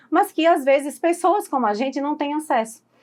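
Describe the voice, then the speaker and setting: A woman speaks against a quiet background. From Recife, Brazil. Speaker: podcast host. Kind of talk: podcast interview.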